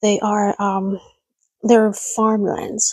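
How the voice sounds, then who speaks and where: A woman whispers at a very slow pace. The sound is dry and close with no echo. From Hong Kong. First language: Cantonese. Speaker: livestreamer. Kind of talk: casual chat. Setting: livestream at home at night. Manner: whispering; halting.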